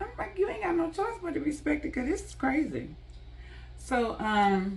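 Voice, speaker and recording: An animated, high-pitched woman at a moderate pace, with very wide pitch swings, big swings in loudness and audible room echo. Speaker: vlogger. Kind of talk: storytime monologue. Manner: stuttering from frustration.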